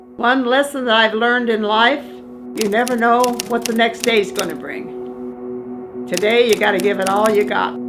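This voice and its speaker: With music in the background, a woman with a medium-pitched voice and an Upper Midwest accent talks at a moderate pace with very wide pitch swings and hardly any pauses. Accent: Upper Midwest American. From Wisconsin. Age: 80s+. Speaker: insurance phone caller. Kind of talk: interview answer.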